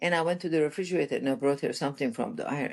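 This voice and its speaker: Ordinary pitch variation marks this woman's speech. She has a fairly low pitch and a Persian accent. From Iran. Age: 60s. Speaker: relationship coach. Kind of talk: podcast interview, personal story. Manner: animated.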